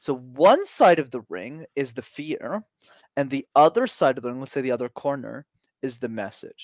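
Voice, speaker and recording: An unremarkable speaking voice from a man with a Canadian accent, fairly high in pitch, with lively intonation, big swings in loudness, a moderate pace and a dry, close sound with no echo. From Canada. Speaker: public speaking coach. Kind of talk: casual interview.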